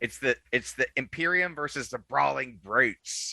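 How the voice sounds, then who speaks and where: A man puts on a growling character voice at a medium pitch. He keeps a moderate pace. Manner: snarling.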